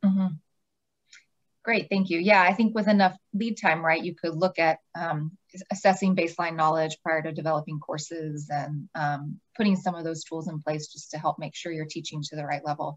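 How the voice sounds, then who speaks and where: A woman talks in a plain, everyday voice with fairly even intonation over a quiet background. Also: fairly low pitch for a woman, moderate pace. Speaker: nonprofit program staff, webinar moderator; webinar moderator. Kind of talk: webinar moderation. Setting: video call. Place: office. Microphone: video call.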